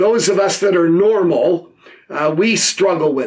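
Against a quiet background, a man with a high voice speaks at a fairly slow pace with ordinary pitch variation. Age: 80s+. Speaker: pastor. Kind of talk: sermon. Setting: video recording. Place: office.

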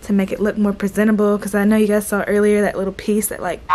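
A woman speaks very fast in a monotone, flat intonation. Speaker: flight attendant vlogger. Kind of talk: casual vlog chat. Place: home room. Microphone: phone near.

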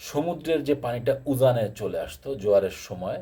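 A man speaks in a dark, mellow tone that is somewhat breathy. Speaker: YouTuber discussing water issues. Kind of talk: informal explainer talk.

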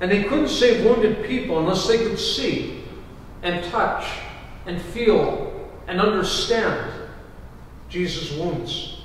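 In a room with strong echo and light background noise, a man with a high voice speaks at a very slow pace, using ordinary pitch variation and long, frequent pauses. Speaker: pastor. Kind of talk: sermon. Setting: church. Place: church. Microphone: camera far.

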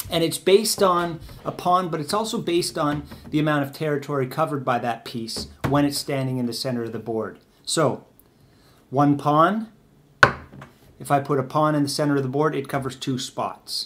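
Over light background noise, a man with a fairly high pitch talks at a moderate pace with ordinary pitch variation and long, frequent pauses. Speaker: chess teacher. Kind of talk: tutorial. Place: home room. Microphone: camera far.

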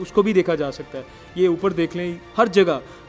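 A man speaks with a high voice and fairly even intonation. Faint music plays in the background. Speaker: TV reporter. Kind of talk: walkthrough report. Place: office. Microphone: handheld.

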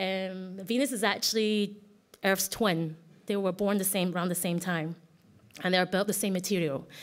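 A woman speaks with fairly even intonation and very even loudness. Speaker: artist giving a conference talk; conference presenter. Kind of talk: conference presentation. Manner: fast; halting, many restarts. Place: hall.

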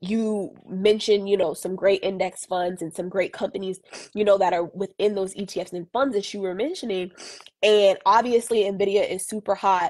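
A woman with a normal speaking voice keeps a medium pitch, a moderate pace and fairly even intonation. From Boston. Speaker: financial educator. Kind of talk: casual chat. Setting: Instagram live stream. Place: home room. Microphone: earbuds.

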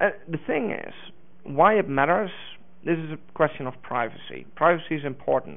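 A man speaks in a Dutch accent at a fairly high pitch. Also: ordinary pitch variation, moderate pace. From Netherlands. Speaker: open source community manager; conference presenter. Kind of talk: conference talk. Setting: stage with audience. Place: hall.

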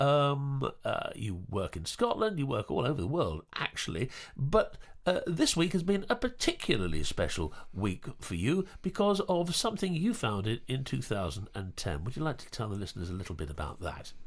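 At a moderate pace, a man with an English accent speaks in a very clean recording with a silent background. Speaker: podcast co-host and actor. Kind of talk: casual chat. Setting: studio.

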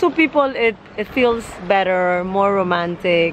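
At a moderate pace, a woman speaks against noticeable background noise. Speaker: travel vlogger. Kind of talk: casual vlog chat. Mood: cheerful, relaxed. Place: beach. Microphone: phone near.

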